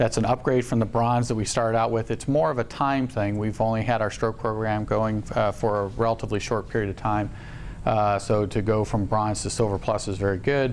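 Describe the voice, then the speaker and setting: A man with a fairly low voice speaks in a monotone with flat intonation. His loudness stays very even at a fairly quick pace. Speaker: hospital executive and surgeon. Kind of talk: presentation at staff town hall meeting. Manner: fast; halting, many fillers.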